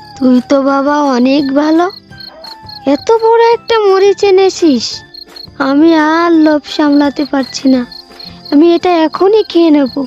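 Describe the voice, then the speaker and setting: A cartoonish character voice, female-sounding and high-pitched, moves at a moderate pace. Clear music plays in the background. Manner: frail, pleading.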